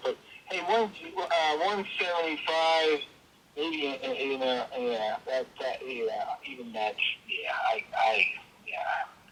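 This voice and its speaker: Very slowly, a man talks while noticeable noise fills the background. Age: 60s. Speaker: property seller. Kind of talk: phone call negotiation. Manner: halting, many repetitions.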